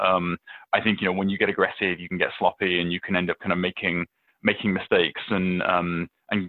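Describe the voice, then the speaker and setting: Speaking at a fairly quick pace, a man has a very deep, low pitch. His intonation is monotone and flat. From England. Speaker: venture capitalist. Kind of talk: casual interview. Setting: office, remote call.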